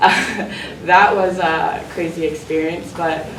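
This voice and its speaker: There is audible room echo and noticeable background noise. The woman talks at a very slow pace. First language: not English. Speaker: student. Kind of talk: panel talk. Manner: halting.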